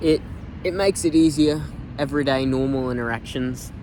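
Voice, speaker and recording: There is noticeable background noise as a man speaks at a moderate pace. His pitch is medium and his intonation fairly even. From United States. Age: 19. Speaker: vlogger. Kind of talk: casual vlog monologue. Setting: outdoors in a park. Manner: halting, many fillers and self-corrections.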